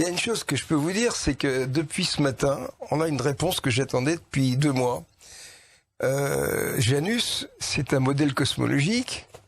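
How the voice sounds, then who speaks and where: A man talks with lively intonation at a fairly high pitch. His voice is somewhat breathy. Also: moderate pace, very even loudness, very clean recording, silent background. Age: 80s+. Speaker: scientist. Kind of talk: interview. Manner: animated.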